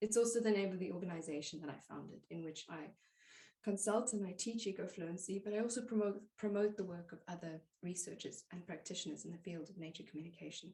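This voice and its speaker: A woman speaks very fast in a somewhat breathy, dark, mellow tone. Her loudness swings widely while her pitch varies in an ordinary way. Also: medium pitch for a woman. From South Africa. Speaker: plant pathologist and nature communication teacher. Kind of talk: podcast interview answer.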